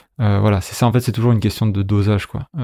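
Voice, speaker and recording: At medium pitch and with fairly even intonation, a man's dark, mellow voice comes through in a very clean recording with a silent background and a dry, close sound with no echo. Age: 30s. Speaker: 3D character artist for video games. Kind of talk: casual interview. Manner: hesitant, many fillers.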